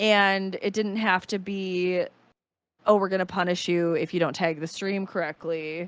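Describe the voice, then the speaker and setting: A woman with a Wisconsin accent speaks at a fairly slow pace in a medium pitch with monotone, flat intonation. The recording is very clean, with a silent background. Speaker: streamer. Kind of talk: casual chat. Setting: podcast recording.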